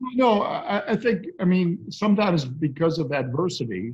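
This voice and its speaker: Against a quiet background, a man's voice moves through very wide pitch swings. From United States. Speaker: basketball play-by-play announcer. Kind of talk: interview answer. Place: home room. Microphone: video call.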